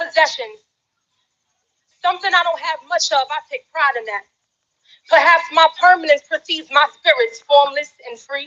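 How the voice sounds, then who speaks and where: A woman's raised, projected voice at an extremely high pitch, bright and sharp in tone, with ordinary pitch variation, big swings in loudness, a moderate pace and long, frequent pauses. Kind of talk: spoken word poetry performance.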